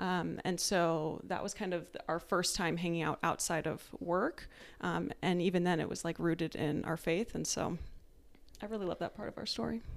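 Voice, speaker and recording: A woman with an American accent speaks at a moderate pace in a fairly low pitch, with vocal fry and fairly even intonation. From Tucson, Arizona. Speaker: guest, wife, military officer. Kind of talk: casual interview chat.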